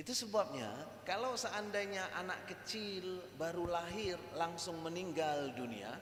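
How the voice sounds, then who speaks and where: At a fairly slow pace, a man speaks with a high pitch amid noticeable background noise and audible room echo. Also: lively intonation. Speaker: Islamic religious lecturer. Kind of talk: religious lecture. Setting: mosque with audience. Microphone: microphone too quiet, switched mics.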